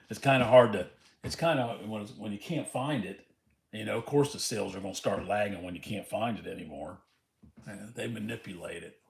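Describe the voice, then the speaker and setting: Somewhat breathy and fairly quick, a man with an American accent talks with big swings in loudness. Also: fairly low pitch for a man, ordinary pitch variation. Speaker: lottery scratch-off streamer. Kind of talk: casual livestream chat. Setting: livestream, reading chat.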